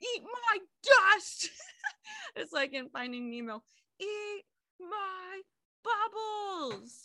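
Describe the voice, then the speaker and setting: A woman with an extremely high voice projects it loudly in a bright, sharp tone, her pitch swinging very widely. She speaks at a very slow pace with long, frequent pauses. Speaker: podcast co-host. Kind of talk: casual chat.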